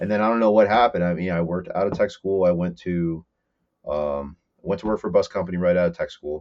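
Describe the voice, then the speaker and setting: The speaker talks at a very fast pace with an American accent. The intonation stays fairly even. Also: man, very deep, low pitch for a man. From northern New Jersey, Morris County. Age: 30s. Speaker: fabricator and mechanic. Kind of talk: casual chat.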